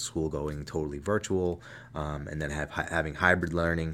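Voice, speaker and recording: A man's very deep, low pitch with an American accent at a moderate pace. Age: 30s. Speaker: high school art teacher. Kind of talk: casual chat.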